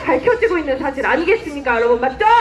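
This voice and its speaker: A woman's pitch swings very widely. Noticeable background noise sits behind her. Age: 20s. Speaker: political activist. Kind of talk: political rally speech. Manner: impassioned, shouting slogans.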